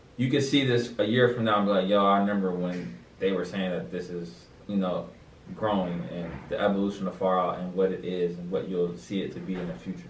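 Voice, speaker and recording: A man speaks at a fairly quick pace in a very deep, low voice. Room echo is audible. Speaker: podcast host. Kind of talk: casual chat. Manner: monotone.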